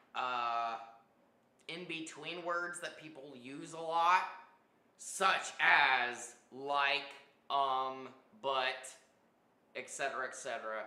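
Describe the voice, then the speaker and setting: Audible room echo surrounds a man whose fairly high voice carries a bright, sharp tone and ordinary pitch variation. He talks at a very slow pace with long, frequent pauses. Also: big swings in loudness. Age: 30s. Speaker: artist streaming live painting. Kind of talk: casual live stream chat. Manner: hesitant, many fillers like um and uh.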